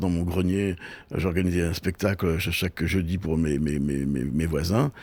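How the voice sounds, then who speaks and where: A man with a Breton accent speaks with lively intonation on a very clean recording with a silent background. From Brittany, France (Brest). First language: Breton (speaking French). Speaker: TV and festival producer. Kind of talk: interview. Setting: on location in Brittany. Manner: hesitant, many repetitions; fast.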